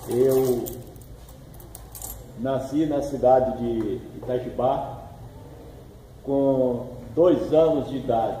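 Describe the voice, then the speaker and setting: This man's voice sits at a medium pitch, with fairly even intonation. Audible room echo and noticeable background noise surround him. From Brazil, Bahia (Ipiaú area). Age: 60s. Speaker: local community figure interviewed. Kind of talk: interview, life story.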